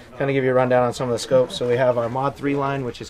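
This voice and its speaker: A man's voice over noticeable background noise. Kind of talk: product overview interview. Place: open country. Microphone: camera far.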